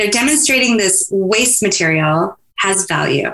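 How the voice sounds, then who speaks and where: A woman with an American accent, an unremarkable speaking voice, fairly high pitch and lively intonation. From Alaska (Fairbanks), US. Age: 50s. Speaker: nonprofit executive director. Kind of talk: interview conversation.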